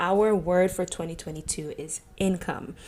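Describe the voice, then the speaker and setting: Using ordinary pitch variation, a woman talks at a fairly slow pace. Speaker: podcast host, entrepreneur. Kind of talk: casual podcast monologue. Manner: calm.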